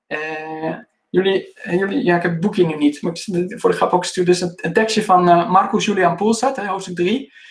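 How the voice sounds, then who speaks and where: The background is quiet. Pitch varies in an ordinary way. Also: man, high pitch for a man. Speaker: classics teacher giving a presentation. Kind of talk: lecture. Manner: fast. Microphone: video call.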